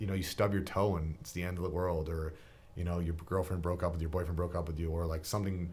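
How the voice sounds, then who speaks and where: With a Canadian accent, a man speaks very fast in a very deep, low voice, his intonation monotone and flat, with audible room echo. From Niagara region, Ontario, Canada. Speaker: gym owner and personal trainer. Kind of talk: casual interview chat. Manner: loud.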